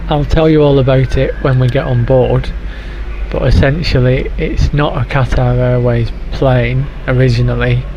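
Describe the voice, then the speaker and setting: A man talks at a moderate pace with very even loudness. Audible room echo and noticeable background noise fill the recording. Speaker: travel vlogger. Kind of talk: travel vlog. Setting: airport lounge. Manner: whispering, quiet; hesitant with fillers.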